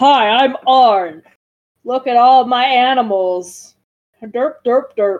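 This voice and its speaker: A female-sounding voice puts on a character voice at a high pitch. The pace is very slow. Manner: mocking, goofy.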